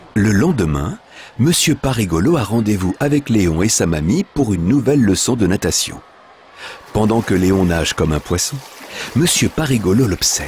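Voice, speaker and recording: A man's fairly low voice at a moderate pace, with long, frequent pauses, very even loudness, very wide pitch swings and noticeable background noise. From France. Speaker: voice actor. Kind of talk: children's story reading.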